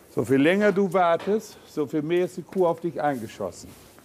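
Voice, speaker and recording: A man speaks with a high pitch and a dark, mellow tone. Light background noise sits behind him. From East Frisia, Germany. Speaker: animal chiropractor. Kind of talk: instructing apprentice on the job. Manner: casual, blunt. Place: farm machine.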